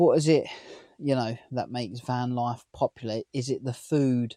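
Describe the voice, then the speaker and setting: Dark and mellow in tone, a man's medium-pitched voice holds fairly even intonation in a dry, close sound with no echo on a very clean recording with a silent background. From near London, England. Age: 30s. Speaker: vlogger. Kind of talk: casual vlog talk to camera.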